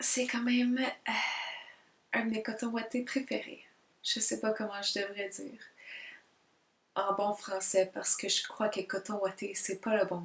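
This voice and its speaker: A woman speaks fairly slowly in a fairly high, somewhat breathy voice. Her intonation is fairly even, and she leaves long, frequent pauses. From Quebec. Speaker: multidisciplinary artist and spiritual vlogger. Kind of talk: casual self-introduction vlog. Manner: hesitant, many fillers; careful, deliberate diction.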